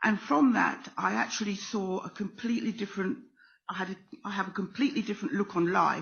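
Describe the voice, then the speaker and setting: In a British accent, the speaker talks at a very fast pace with ordinary pitch variation. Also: woman, medium pitch for a woman. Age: 60s. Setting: stage with audience. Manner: hesitant.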